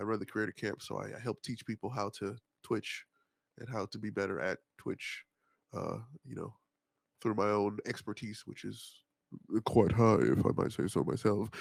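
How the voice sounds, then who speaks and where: At a moderate pace, with long, frequent pauses, a man speaks at a fairly low pitch with vocal fry and ordinary pitch variation, recorded very cleanly against a silent background with a dry, close sound and no echo. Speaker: streamer. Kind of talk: casual chat.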